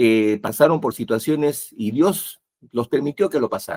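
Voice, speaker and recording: With a plain, everyday voice, a man speaks at a moderate pace with a fairly high pitch and lively intonation, in a dry, close sound with no echo. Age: 60s. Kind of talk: religious talk show discussion.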